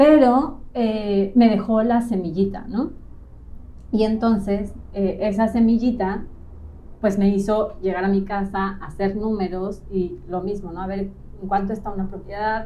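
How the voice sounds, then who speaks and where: A woman in a Mexico City accent, fairly slow and fairly even, with a dark, mellow tone at a medium pitch and audible room echo. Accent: central Mexican Spanish (Mexico City). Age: 30s. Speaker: real estate agent, trained architect. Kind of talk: interview, personal story. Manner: calm, relaxed.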